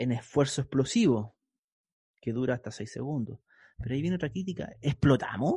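A somewhat breathy voice with a dark, mellow tone speaks in a Chilean accent at a fairly quick pace, with long, frequent pauses. The sound is dry and close with no echo, over a quiet background. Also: man, medium pitch for a man, ordinary pitch variation. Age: 40s. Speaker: physical education teacher and exercise physiologist. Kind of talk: interview. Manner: casual, colloquial.

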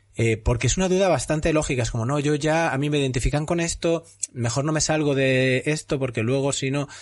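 With a normal speaking voice, a man with a fairly high pitch talks at a fairly quick pace, with hardly any pauses, very even loudness and ordinary pitch variation. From Spain, Castellón. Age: 40s. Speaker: podcast host. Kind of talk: casual interview.

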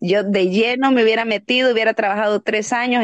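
Heard over a quiet background, a plain, everyday voice moves at a fairly quick pace with a dry, close sound and no echo. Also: woman. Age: 30s. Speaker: adult content creator. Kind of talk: casual chat.

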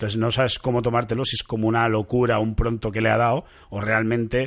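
A man talks at a moderate pace in an unremarkable speaking voice. The background is quiet. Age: 30s. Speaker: podcast host. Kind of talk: casual chat.

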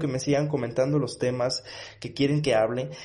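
The man's voice is somewhat breathy. His pitch varies in an ordinary way. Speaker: motivational podcast host. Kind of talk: motivational monologue. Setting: home studio. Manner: energetic, with filler words.

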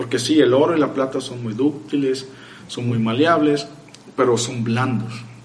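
Over noticeable background noise and audible room echo, a man talks at a fairly slow pace with a medium pitch and fairly even intonation. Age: 30s. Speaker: freemason lecturer. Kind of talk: casual chat.

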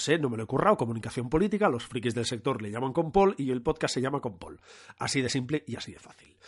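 The setting has a quiet background. In it, a man's very fast speech carries lively intonation. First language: Catalan (speaking Spanish). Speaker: podcast host, communication consultant. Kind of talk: casual solo podcast monologue. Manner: animated.

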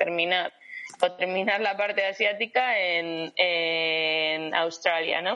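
A woman is speaking. Her pace is very slow. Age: 30s. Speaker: travelling runner. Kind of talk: interview.

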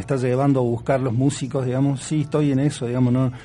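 A man of medium pitch with noticeable background noise. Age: 40s. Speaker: musician. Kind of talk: interview.

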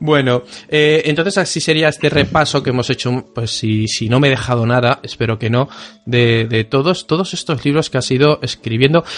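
A man at medium pitch uses a normal speaking voice, talking at a moderate pace with ordinary pitch variation. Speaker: podcast host. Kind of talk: casual chat.

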